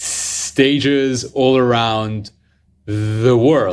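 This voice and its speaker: A man talks at a very slow pace with a non-native accent, his medium pitch held in fairly even intonation. The recording is very clean, with a silent background. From Lebanon. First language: not English. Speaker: motivational speaker. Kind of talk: podcast interview.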